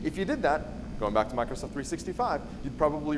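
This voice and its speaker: Speaking at a very fast pace, a man with a medium-pitched voice is heard through audible room echo and noticeable background noise. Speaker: conference speaker on cybersecurity. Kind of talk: conference talk.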